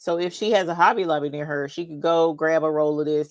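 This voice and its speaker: With an American accent, the speaker goes at a fairly quick pace and keeps a fairly even intonation. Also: woman. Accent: Southern, usually toned down. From North Carolina (Charlotte). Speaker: crafting YouTuber. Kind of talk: casual chat during livestream.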